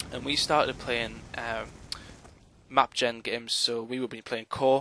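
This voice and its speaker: Speaking with a slight Newcastle accent, a man talks at a fairly slow pace in a monotone, flat way, with a dry, close sound and no echo. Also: medium pitch for a man. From northern England, Newcastle. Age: 20s. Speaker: esports commentator. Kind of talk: self-introduction monologue. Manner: hesitant, many fillers.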